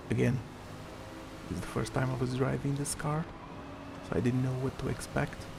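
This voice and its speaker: A man speaks quietly at a medium pitch, with audible room echo and noticeable background noise. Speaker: gaming YouTuber. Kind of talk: gameplay commentary.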